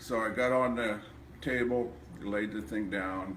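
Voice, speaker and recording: The voice here is a man's. There is audible echo from the room around him. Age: 70s. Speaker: chiropractic patient. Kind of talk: testimony.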